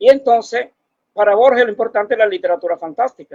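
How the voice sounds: Recorded with a dry, close sound and no echo, a man talks at a fairly quick pace with a high pitch, a slightly mellow tone and ordinary pitch variation.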